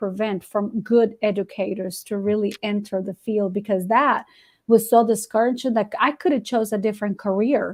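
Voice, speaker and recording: A woman in a Spanish accent talks at a moderate pace with hardly any pauses, her fairly high pitch following fairly even intonation over a quiet background. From Guatemala. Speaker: ESL teacher. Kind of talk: interview answer.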